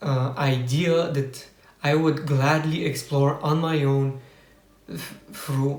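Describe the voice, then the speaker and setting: Room echo can be heard around the voice, which carries a Bulgarian accent. The intonation stays flat and monotone. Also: man. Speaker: personal development vlogger. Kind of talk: personal testimony. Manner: halting, unscripted with many fillers.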